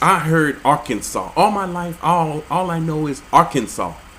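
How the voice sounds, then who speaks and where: An animated tone comes through at a fairly slow pace amid noticeable background noise. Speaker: religious video commentator. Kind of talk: commentary reading out and reacting to laws. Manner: animated, incredulous.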